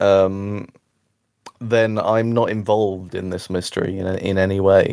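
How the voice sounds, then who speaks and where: The delivery is monotone and flat. The pace is fairly slow. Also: man, fairly low pitch for a man. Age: 30s. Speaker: film podcast co-host. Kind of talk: casual chat. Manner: hesitant, many fillers.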